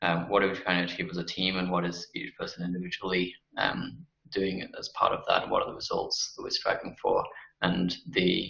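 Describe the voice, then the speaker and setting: A man talks at a fairly quick pace. He has a British accent. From UK. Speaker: company CEO. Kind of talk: interview. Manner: halting, many fillers.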